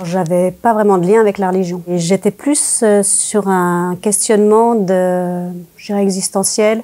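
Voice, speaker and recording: Fairly slow and dark in tone, a woman speaks at medium pitch with fairly even intonation. Her loudness swings widely on a very clean recording with a silent background. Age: 60s. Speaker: former religious group member giving testimony. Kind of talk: testimony interview. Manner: hesitant, many fillers.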